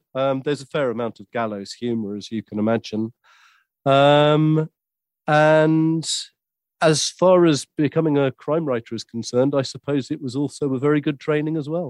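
A man with a southern English accent speaks in a fairly high pitch with ordinary pitch variation. His pace is moderate, and the sound is dry and close with no echo. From southern England, West Sussex. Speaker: author and audiobook show host. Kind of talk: interview. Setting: remote from London.

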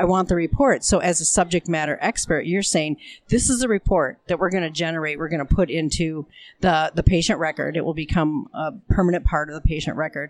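A woman with an American accent and a plain, everyday voice speaks at a fairly quick pace. Her pitch is fairly low, with ordinary variation, on a very clean recording with a silent background. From Minnesota, US. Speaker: diabetes nurse educator. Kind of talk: casual interview. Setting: recorded live at a conference.

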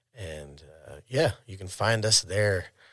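An unremarkable speaking voice from a man with an American accent, fairly low in pitch with ordinary pitch variation, at a fairly slow pace, in a very clean recording with a silent background. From Oregon (Eugene). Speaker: cannabis dispensary owner. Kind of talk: casual interview.

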